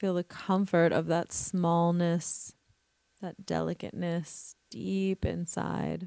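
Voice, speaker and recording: In an American accent, a woman speaks at a very slow pace, captured in a very clean recording with a silent background and a dry, close sound with no echo. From US Northeast, Brooklyn, New York. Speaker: podcast host, intimacy coach. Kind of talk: casual monologue; guided meditation. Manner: halting, many fillers.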